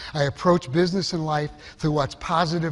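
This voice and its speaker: A man speaks at a fairly quick pace in a somewhat breathy voice. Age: 60s. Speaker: marketing executive and keynote speaker. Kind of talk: conference keynote talk. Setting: stage with audience. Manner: animated.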